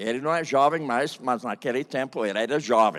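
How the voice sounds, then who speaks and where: A man with a normal speaking voice talks at a moderate pace in a fairly high pitch with lively intonation, on a very clean recording with a silent background. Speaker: pastor and biblical counseling teacher. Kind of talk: testimony. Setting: conference stage with audience.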